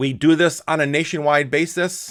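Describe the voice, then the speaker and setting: An ordinary speaking voice carries fairly even intonation. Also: man. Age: 50s. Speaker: company owner giving presentation. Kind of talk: business presentation. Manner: casual, with fillers.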